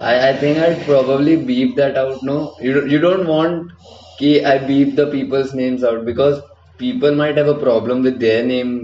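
Against noticeable background noise, a man with a fairly high pitch speaks at a moderate pace and fairly even intonation. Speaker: podcast host, university student. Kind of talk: casual chat.

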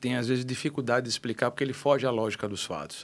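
Words pour out of a man very quickly. The pitch is medium for him. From Natal, Rio Grande do Norte, Brazil (childhood in Rio de Janeiro). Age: 50s. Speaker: radio station director and businessman. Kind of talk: podcast interview.

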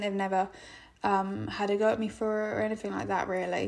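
At a fairly quick pace, a woman with an English accent speaks in a fairly high pitch with monotone, flat intonation. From England. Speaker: podcast host. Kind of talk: casual monologue.

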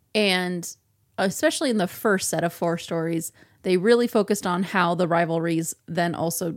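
Speaking with a Midwestern American accent, a woman uses a fairly low pitch with ordinary variation. The recording is very clean, with a silent background. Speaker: podcast co-host. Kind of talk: casual chat.

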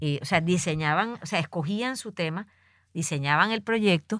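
A woman with a Caribbean Colombian accent speaks at a fairly slow pace in a fairly low voice with an animated tone. The sound is dry and close with no echo, in a very clean recording with a silent background. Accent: Colombian Caribbean coastal (costeño). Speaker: conservation foundation director. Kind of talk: field interview. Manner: hesitant, many fillers.

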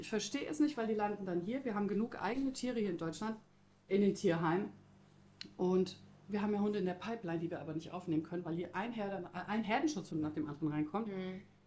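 A woman at medium pitch with lively intonation, a normal speaking voice. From Croatia. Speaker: animal shelter staff. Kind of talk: casual chat.

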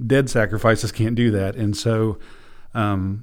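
A man with an unremarkable speaking voice talks in an American accent at a medium pitch. His intonation is fairly even, and the recording is very clean with a silent background. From US Midwest, southern Illinois. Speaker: missionary, former lawyer. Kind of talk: interview about personal story.

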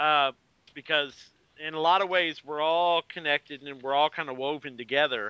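In an ordinary speaking voice, a man speaks at a fairly high pitch and a moderate pace. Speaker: podcast host and comics editor. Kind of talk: casual chat.

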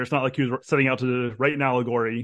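A man with a normal speaking voice talks at medium pitch. His pace is fairly quick, and the background is quiet. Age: 30s. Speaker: philosophy PhD candidate. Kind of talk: interview.

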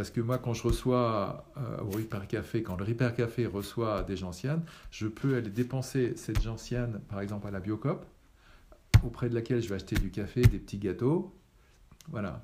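This man has a medium pitch and a dark, mellow, somewhat breathy tone. He talks at a moderate pace with ordinary pitch variation. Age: 60s. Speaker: retired engineer, repair café founder. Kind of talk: interview. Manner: halting.

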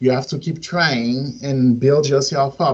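Speaking at a moderate pace, a man with a fairly high, somewhat breathy voice uses ordinary pitch variation. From Haiti, Port-au-Prince. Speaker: singer-songwriter and media student. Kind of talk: interview answers. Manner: halting.

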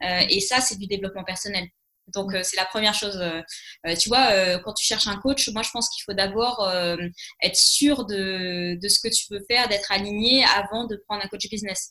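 The tone is bright and sharp, and the intonation stays fairly even. The pace is moderate. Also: woman, medium pitch for a woman. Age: 20s. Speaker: business coach. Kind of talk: interview. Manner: hesitant, many fillers.

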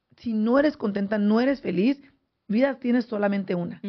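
A woman with a fairly high pitch talks very fast, her pitch varying in an ordinary way. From San José, California. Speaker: radio host. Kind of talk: casual radio chat. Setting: studio.

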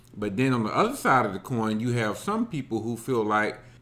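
With an American accent, a man uses an ordinary speaking voice at a medium pitch with ordinary pitch variation. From Alabama, US South. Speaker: podcast co-host. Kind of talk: casual chat.

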